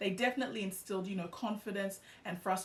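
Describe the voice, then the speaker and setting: A woman with an Australian accent speaks at medium pitch. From Australia (Melbourne), born in Ghana. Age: 30s. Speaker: YouTuber. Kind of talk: personal vlog storytelling. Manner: casual with many fillers.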